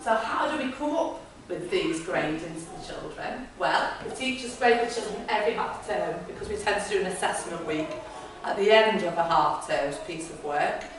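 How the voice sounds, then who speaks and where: Amid noticeable background noise and audible room echo, a woman with fairly high pitch speaks at a moderate pace, her pitch swinging very widely and her loudness shifting a great deal. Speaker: school leader presenting to parents. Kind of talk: presentation.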